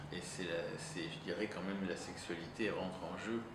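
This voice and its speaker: Heard through audible room echo and noticeable background noise, a man speaks with an Italian accent. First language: Italian (speaking French). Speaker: psychoanalyst. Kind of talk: interview. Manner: halting, many hesitations.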